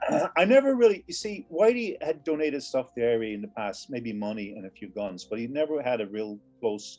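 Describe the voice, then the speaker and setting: With music in the background, a man in an American accent talks at a fairly quick pace and medium pitch, hardly pausing, with very wide pitch swings and big swings in loudness. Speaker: former IRA member and ex-Marine, author. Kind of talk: interview. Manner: halting, many repetitions.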